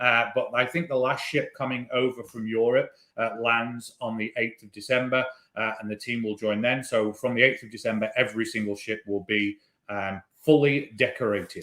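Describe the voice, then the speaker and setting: A man with a British accent, medium pitch, fairly even intonation, a moderate pace and big swings in loudness. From Britain. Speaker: cruise line entertainment manager. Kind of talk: webinar conversation. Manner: casual, hesitant with fillers.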